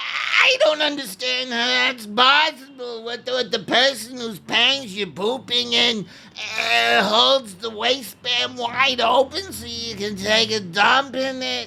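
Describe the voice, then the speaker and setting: Putting on a character voice, a man projects loudly at an extremely high pitch, moving at a fairly slow pace with big swings in loudness. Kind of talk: comedy audio sketch. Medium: audio drama. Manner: hesitant, stammering.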